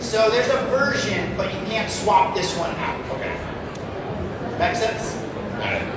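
A man at a very slow pace amid loud background noise and audible room echo. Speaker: executive chef. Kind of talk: sales pitch. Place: hall.

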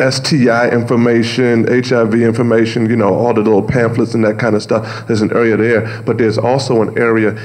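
This man talks at a moderate pace in a monotone, flat intonation. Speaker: pastor and radio show host. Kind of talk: panel discussion answer. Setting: panel discussion before an audience. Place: hall. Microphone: podium.

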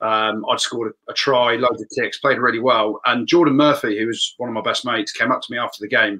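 Against a quiet background, the talk rushes at a very fast pace with hardly any pauses. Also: man. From England. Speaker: rugby pundit. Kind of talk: casual live panel chat. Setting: video call. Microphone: webcam.

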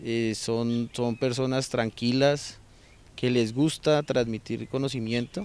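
In a dry sound with no echo, a man speaks at a very slow pace with fairly even intonation. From Colombia, Bogotá. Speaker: insurance broker, language student. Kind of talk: testimonial. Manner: halting, many fillers and repetitions. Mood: calm, positive. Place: garden. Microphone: handheld.

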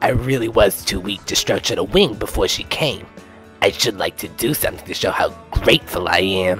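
Over clear music in the background, a man does a put-on character voice at medium pitch and a fairly quick pace. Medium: audio drama. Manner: eager, delighted.

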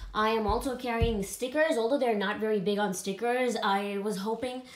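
A woman at a moderate pace, fairly even in intonation, with audible room echo. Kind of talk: casual vlog chat. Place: home room. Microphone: phone near.

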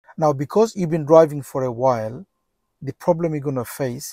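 A man speaks with ordinary pitch variation and a somewhat breathy voice. The sound is dry with no echo, over a quiet background. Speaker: driving instructor. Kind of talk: tutorial. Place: car. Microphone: lapel.

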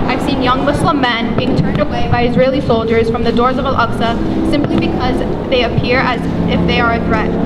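Against loud background noise, a woman speaks fairly quickly in a high pitch, with fairly even intonation and very even loudness. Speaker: student organizer; speaker. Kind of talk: rally speech. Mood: sorrowful, earnest. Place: street. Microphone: podium.

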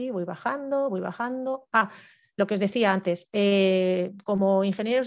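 The intonation is lively. The background is quiet. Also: woman. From Spain (Madrid). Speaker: forestry engineer, civil servant; presenter. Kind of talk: online presentation talk. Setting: video call. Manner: fast. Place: home room. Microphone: headset.

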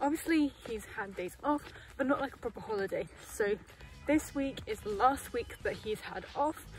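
Faint music plays in the background as a woman speaks in a high voice, the sound dry with no echo. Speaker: horse owner vlogger. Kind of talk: casual vlog chat. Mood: cheerful, upbeat. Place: open country. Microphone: phone near.

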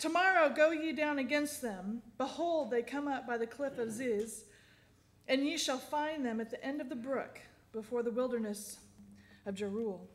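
At a moderate pace, a woman speaks with high pitch and ordinary variation amid audible room echo.

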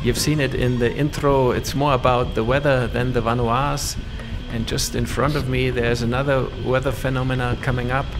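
A man at a moderate pace, monotone and flat in intonation, with very even loudness and music in the background. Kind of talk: commentary.

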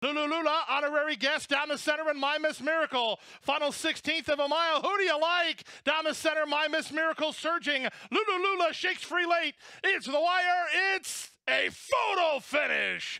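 A man's raised, projected voice at an extremely high pitch, excited in tone, with very even loudness and ordinary pitch variation. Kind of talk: live race call. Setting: racetrack PA or broadcast booth. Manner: rapid-fire, urgent, building to excited crescendos as horses surge at the finish.

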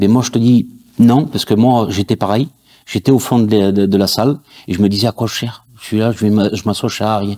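Over a quiet background, a man with a dark, mellow tone and fairly low pitch speaks at a moderate pace with fairly even intonation. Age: 40s. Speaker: church audiovisual volunteer. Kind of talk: testimony. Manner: halting, many fillers. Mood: earnest, faith testimony. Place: studio.

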